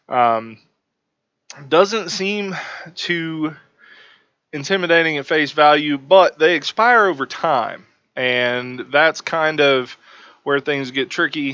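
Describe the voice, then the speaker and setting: Very slow and broken by long, frequent pauses, a man's speech comes in a bright, sharp tone. His pitch is fairly high, with ordinary variation. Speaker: book reviewer on investing channel. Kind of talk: casual review. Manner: hesitant with fillers.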